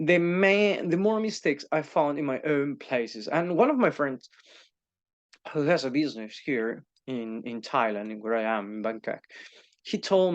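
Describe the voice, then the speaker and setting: With a Spanish accent, a man speaks at a moderate pace in a fairly high pitch, his voice moving through very wide pitch swings. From Spain. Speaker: YouTuber and teacher. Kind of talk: casual monologue. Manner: halting, many fillers and repeats.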